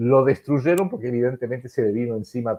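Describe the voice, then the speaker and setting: At a fairly quick pace, a man is speaking. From Argentina. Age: 70s. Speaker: political analyst. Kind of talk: political commentary in a live-streamed interview. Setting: online live stream. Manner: halting with frequent repetitions and self-corrections.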